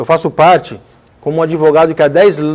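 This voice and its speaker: A man at a very fast pace, with fairly high pitch. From Brazil, Guarujá area. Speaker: lawyer and emancipation activist. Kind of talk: TV debate. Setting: TV studio.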